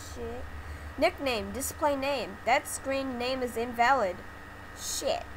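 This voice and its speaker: A woman talks at a very slow pace. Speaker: gaming YouTuber. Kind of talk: angry rant. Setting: screen-recorded gameplay commentary. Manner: furious, shouting and cursing at the game.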